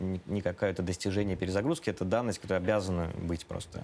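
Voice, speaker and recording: A man's very deep, low voice. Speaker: organization director. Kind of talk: interview. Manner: hesitant.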